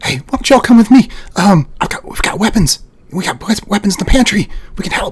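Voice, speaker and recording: A man does a put-on character voice at a high pitch with lively intonation. His pace is very fast. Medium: actual play. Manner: hurried, clipped.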